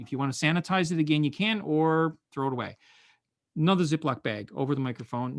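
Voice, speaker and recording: Fairly quick speech from a man at a fairly high pitch, with ordinary pitch variation. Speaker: online teaching workshop facilitator, music educator. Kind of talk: webinar tutorial. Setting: online webinar. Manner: fast. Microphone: expensive studio microphone; far from the mic, six feet away.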